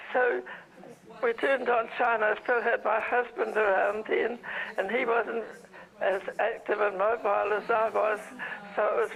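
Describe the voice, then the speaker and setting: Over noticeable background noise, a woman with a New Zealand accent speaks at a fairly high pitch, a fairly slow pace and with fairly even intonation. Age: 90s. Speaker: viewer and donor. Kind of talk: phone call chat.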